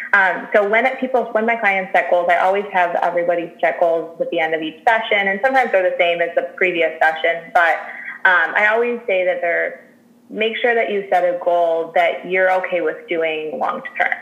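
A medium-pitched woman in an American accent at a moderate pace, with ordinary pitch variation, audible room echo and noticeable background noise. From Chicago. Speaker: registered dietitian. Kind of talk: interview.

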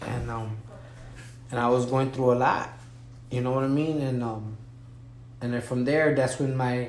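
A man of medium pitch with an American accent speaks at a moderate pace, with audible room echo and noticeable background noise. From Wisconsin. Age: 30s. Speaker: former prisoner. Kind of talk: interview. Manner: halting.

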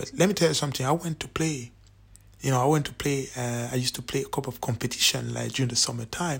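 In a very clean recording with a silent background, a man with a medium-pitched, somewhat breathy voice speaks in an animated tone. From Cameroon. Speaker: podcast host, football commentator. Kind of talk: solo monologue, opinion commentary. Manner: animated, repetitive emphasis; hesitant, many fillers.

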